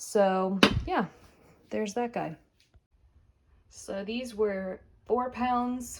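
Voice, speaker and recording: This woman speaks at a very slow pace, leaving long, frequent pauses, with ordinary pitch variation. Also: fairly high pitch for a woman. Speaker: homemaker vlogger. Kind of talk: casual vlog narration. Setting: home kitchen. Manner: casual, hesitant with fillers.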